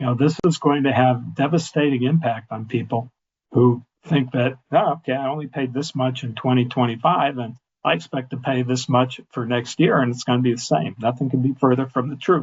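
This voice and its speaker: A man with a medium pitch and a somewhat breathy voice speaks at a fairly quick pace with fairly even intonation. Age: 70s. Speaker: health insurance agent. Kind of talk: webinar presentation. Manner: halting.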